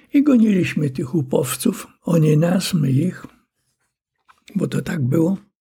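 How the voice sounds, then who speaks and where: Lively intonation marks this man's very slow delivery. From Poland, Warsaw. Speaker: war veteran, retired colonel. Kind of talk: oral history testimony. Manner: halting, with fillers and repetitions.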